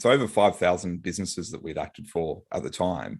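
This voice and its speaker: A man with an Australian accent, very deep and low in pitch, at a fairly quick pace. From Australia, Brisbane. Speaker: business lawyer and author. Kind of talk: podcast interview. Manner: halting, with fillers and repeats.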